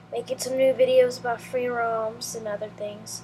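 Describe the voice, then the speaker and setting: A very slow delivery from a woman with a fairly high voice, set against noticeable background noise. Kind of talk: casual diary talk to camera.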